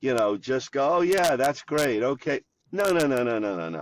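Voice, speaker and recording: Very wide pitch swings mark this voice with an American accent. The sound is dry and close, with no echo. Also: man, very clean recording, silent background. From Philadelphia. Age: 70s. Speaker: cancer survivor and bench press competitor. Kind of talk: podcast interview. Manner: animated.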